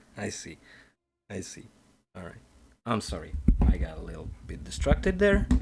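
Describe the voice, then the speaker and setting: A man with a very deep, low pitch and vocal fry speaks at a moderate pace, with very wide pitch swings, big swings in loudness and long, frequent pauses. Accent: non-native. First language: not English. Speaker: digital artist streamer. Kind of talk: casual live-stream commentary while painting. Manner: halting, thinking aloud.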